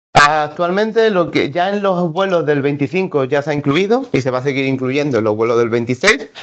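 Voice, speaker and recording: A man talks at a fairly quick pace with hardly any pauses, his pitch fairly high. He has a plain, everyday voice and lively intonation. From Seville, Andalusia, Spain. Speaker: conference presenter, mapping agency staff. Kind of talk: conference presentation.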